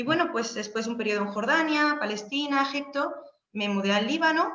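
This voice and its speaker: In a room with audible echo, a woman projects a raised, high-pitched voice at a fairly quick pace with lively intonation. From Spain, Seville. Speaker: Spanish language lecturer abroad. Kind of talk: informational webinar talk. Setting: video call webinar. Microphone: unstable internet connection.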